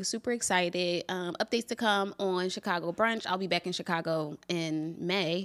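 At a moderate pace, a woman talks in an ordinary speaking voice with medium pitch and fairly even intonation, on a very clean recording with a silent background. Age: 30s. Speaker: travel podcast co-host, brunch blogger. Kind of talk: casual chat.

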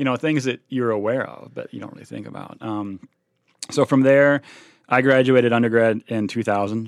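A man talks at a fairly quick pace with ordinary pitch variation and a plain, everyday voice, the sound dry and close with no echo. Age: 40s. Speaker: special education teacher. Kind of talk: casual interview.

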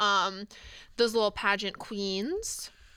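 On a very clean recording with a silent background, a woman speaks at a moderate pace in a medium-pitched voice with a bright, sharp tone. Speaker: podcast host, PhD student. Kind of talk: casual chat. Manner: animated, casual, many filler words.

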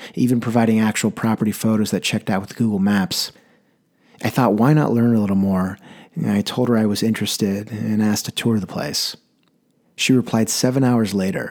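Fairly low in pitch, a man speaks at a fairly quick pace in a normal speaking voice with ordinary pitch variation. The recording is very clean, with a silent background. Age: 20s. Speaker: solo podcast host, personal essayist. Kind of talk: scripted narration of personal stories.

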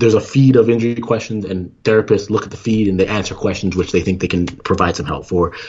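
A somewhat breathy man talks at a fairly quick pace and a medium pitch. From Canada. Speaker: former Olympic sprinter and entrepreneur. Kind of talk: casual interview.

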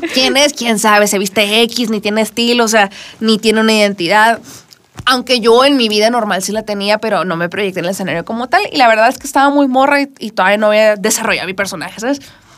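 A woman talks very fast in an animated tone, her fairly high pitch showing ordinary variation. Noticeable background noise runs underneath. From northern Mexico, Culiacán, Sinaloa. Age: 20s. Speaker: singer-songwriter. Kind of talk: interview. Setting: radio studio.

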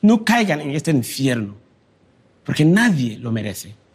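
A man's fairly high, somewhat breathy voice with very wide pitch swings, at a fairly slow pace. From Ghana. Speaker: migrant and education charity founder. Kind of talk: talk.

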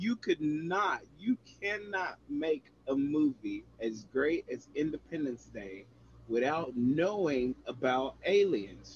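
A man with an American accent, somewhat breathy, fairly high in pitch with very wide pitch swings, at a very slow pace. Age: 20s. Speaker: podcast host. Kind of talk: casual chat.

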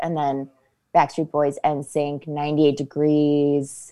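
A woman with a very deep, low pitch and a dark, mellow tone speaks at a fairly slow pace. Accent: Northeast Ohio. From Ohio, Akron area (Copley/Fairlawn). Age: 30s. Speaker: actress. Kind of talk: casual chat.

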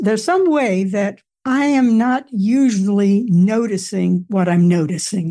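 A woman speaks at a fairly slow pace with ordinary pitch variation. Her tone is dark and mellow, and somewhat breathy. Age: 80s. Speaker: author and retired theater professor. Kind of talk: interview.

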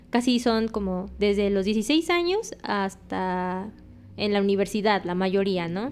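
A woman's unremarkable speaking voice at a medium pitch, ordinary pitch variation, very clean recording with a silent background. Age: 20s. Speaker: Japanese teacher. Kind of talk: casual interview.

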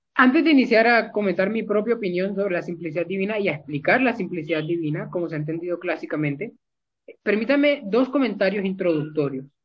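A man's high-pitched voice, fairly quick, with lively intonation. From Colombia, Barranquilla. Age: young. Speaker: theology student and translator. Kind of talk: theological discussion.

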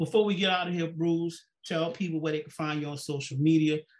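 Fairly even intonation accompanies speech delivered at a fairly quick pace. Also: man. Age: 50s. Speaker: podcast host. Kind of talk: casual chat. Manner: halting.

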